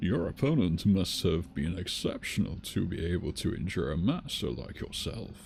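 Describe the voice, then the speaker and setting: Putting on a character voice, a man speaks at a very deep, low pitch and a moderate pace with hardly any pauses, over clear background noise. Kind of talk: archaic, formal.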